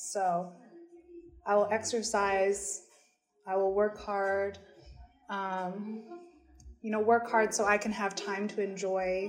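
A woman's very slow, monotone, flat speech in an American accent, with long, frequent pauses and music in the background. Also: medium pitch for a woman. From US Midwest, Michigan. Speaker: teacher and interpreter. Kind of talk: casual interview in English.

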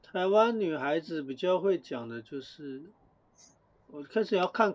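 A man with an unremarkable speaking voice, lively intonation and a fairly slow pace. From Taiwan. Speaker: podcast co-host. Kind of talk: casual chat.

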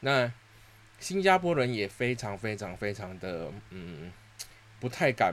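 Fairly low-pitched man at a very slow pace, with lively intonation, big swings in loudness, and long, frequent pauses. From Singapore. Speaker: podcast host. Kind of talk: casual solo monologue.

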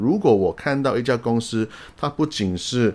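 At a moderate pace, a man speaks in a normal speaking voice at a medium pitch. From outside Taiwan. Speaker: investing YouTuber. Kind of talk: solo explainer video. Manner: casual, frequent fillers and English interjections.

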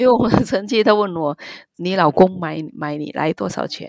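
Her Vietnamese accent comes through as a woman speaks at a moderate pace with ordinary pitch variation, in a very clean recording with a silent background and a dry, close sound free of echo. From Vietnam, Ho Chi Minh City. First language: Vietnamese (speaking Chinese). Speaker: marriage immigrant and migrant rights advocate. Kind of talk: interview, personal testimony.

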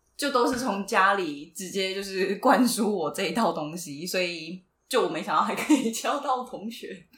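Her loudness swings widely as a woman with a medium pitch talks at a moderate pace with lively intonation and hardly any pauses. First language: Taiwanese Hokkien (speaking Chinese). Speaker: podcast co-host. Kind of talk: casual chat.

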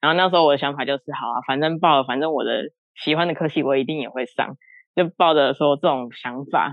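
Intonation holds fairly even. The words come at a very fast pace. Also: woman, very deep, low pitch for a woman. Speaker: career military NCO, listener guest. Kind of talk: casual chat. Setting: online call.

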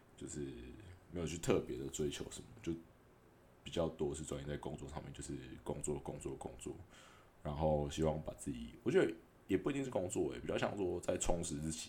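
A man speaks in a very deep, low voice with vocal fry and a dark, mellow tone. His pace is fairly quick, his pitch varies in an ordinary way, and he takes long, frequent pauses. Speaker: podcaster and food delivery rider. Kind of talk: casual monologue. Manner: hesitant, filler-heavy.

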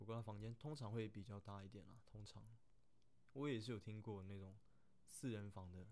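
This man has a fairly low voice with a dark, mellow tone. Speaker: third officer on a container ship. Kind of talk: casual Q&A monologue. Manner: hesitant, many fillers.

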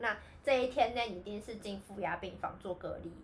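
A woman with an ordinary speaking voice talks at a moderate pace, her fairly high pitch moving with ordinary variation. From Taiwan. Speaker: podcast co-host, returned overseas student. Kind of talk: casual chat.

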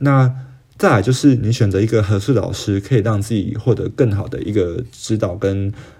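The voice is somewhat breathy, with a dark, mellow tone and fairly even intonation. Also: man, fairly low pitch for a man, moderate pace. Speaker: podcast host. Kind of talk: solo podcast monologue. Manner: casual, hesitant with fillers.

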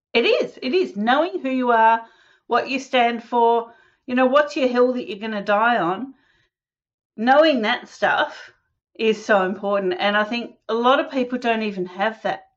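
Over a quiet background, a woman with an Australian accent speaks at a moderate pace in a high pitch with lively intonation. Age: 50s. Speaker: holistic health practitioner. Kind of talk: casual interview.

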